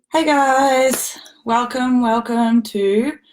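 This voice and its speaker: This is a woman with an Australian accent. Her voice is shaky. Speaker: former elite athlete and sports mentor. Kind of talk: livestream talk to members. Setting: live stream.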